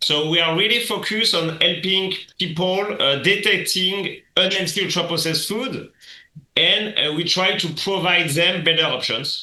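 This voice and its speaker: In a French accent, a man with a high pitch and ordinary pitch variation talks at a moderate pace with audible room echo. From France. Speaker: app founder. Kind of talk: podcast interview. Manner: hesitant, with fillers.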